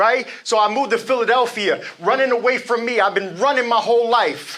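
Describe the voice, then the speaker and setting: The man's voice is raised and projected, with an energetic tone. He speaks at a moderate pace and a high pitch. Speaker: motivational speaker. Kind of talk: live motivational speech. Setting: live event.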